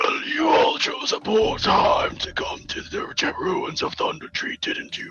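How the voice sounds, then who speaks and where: A man does a raspy, put-on character voice at an extremely high pitch. He speaks at a fairly slow pace. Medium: actual play. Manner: dry, measured.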